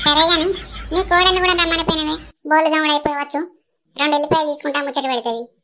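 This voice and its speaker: Using a put-on character voice, a woman speaks very fast at a high pitch. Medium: comedy sketch. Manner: prying, chatty, teasing.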